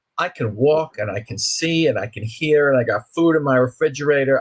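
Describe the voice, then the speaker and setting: A man speaks with an American accent in a normal speaking voice. His pitch is fairly high and his pace fairly quick. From New York (Brooklyn). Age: 60s. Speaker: author. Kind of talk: interview.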